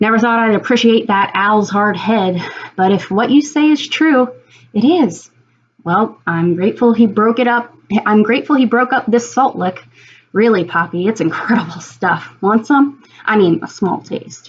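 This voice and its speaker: A female-sounding voice puts on a growling, rumbling character voice at a fairly high pitch. The pace is moderate. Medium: read story. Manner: growly, grumbling.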